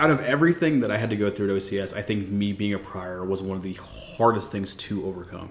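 A man with a fairly low voice talks at a fairly quick pace, with hardly any pauses and ordinary pitch variation. Noticeable background noise is present. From Texas, San Antonio. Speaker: navy officer. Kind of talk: casual chat.

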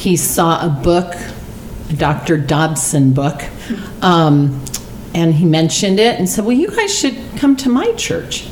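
Over noticeable background noise, a woman with an American accent talks at a fairly slow pace, her pitch fairly low and her intonation lively. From Arizona. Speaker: church member sharing testimony. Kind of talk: testimony; casual chat.

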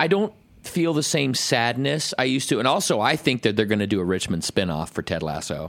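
A man at medium pitch speaks at a fairly quick pace with very wide pitch swings and vocal fry, in a very clean recording against a silent background. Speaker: podcast co-host, recording studio owner. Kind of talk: casual chat, podcast banter. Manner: profane, casual, rambling.

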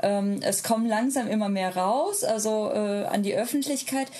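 Noise is noticeable behind this woman's voice. Her pitch sits fairly high with ordinary variation, and her pace is moderate. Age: 30s. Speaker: polyamorous parent and social media creator. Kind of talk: casual interview.

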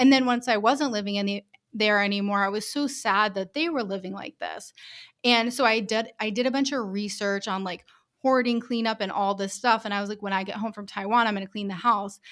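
A normal speaking voice from a woman, fairly high in pitch, with fairly even intonation and a fairly quick pace, in a very clean recording with a silent background. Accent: American. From US Northeast, Rhode Island. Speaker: business owner. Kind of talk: interview.

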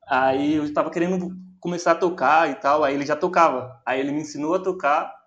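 A man's fairly high voice, a plain, everyday voice with ordinary pitch variation. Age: 20s. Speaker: DJ and music producer, university student. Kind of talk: casual chat.

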